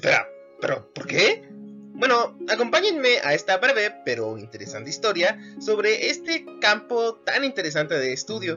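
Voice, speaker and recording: This man keeps a moderate pace. Behind him, music plays. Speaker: history teacher. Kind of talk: educational narration.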